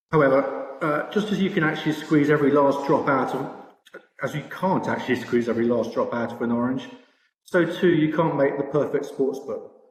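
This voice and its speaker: Against audible room echo, a man with a British accent talks at a fairly quick pace in a fairly high voice with ordinary pitch variation. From Britain. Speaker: sportsbook products director. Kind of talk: conference presentation. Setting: virtual expo presentation. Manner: hesitant, many fillers.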